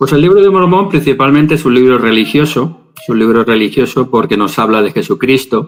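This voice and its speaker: Speaking with a Spanish accent, a man delivers his words at a moderate pace with lively intonation. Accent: Spanish from Spain. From Spain, Valencia. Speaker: religious scholar. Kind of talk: interview.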